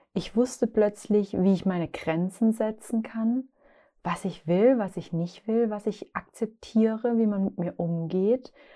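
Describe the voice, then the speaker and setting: This woman's voice sits at a medium pitch and has a warm tone that is dark and mellow. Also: ordinary pitch variation, fairly slow pace. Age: 30s. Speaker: podcast host, founder of a lifestyle brand. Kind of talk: solo podcast monologue on self-discovery. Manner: warm, conversational.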